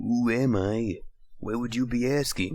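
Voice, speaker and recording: A man does a put-on character voice at medium pitch, speaking at a fairly slow pace. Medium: read story. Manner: smug.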